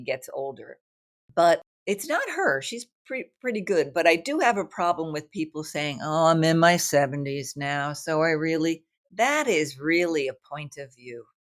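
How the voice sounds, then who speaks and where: A woman with a New York accent and a fairly low pitch. Her intonation is lively, and she talks at a moderate pace. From New York, Brooklyn. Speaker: writer and artist. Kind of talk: interview conversation. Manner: animated.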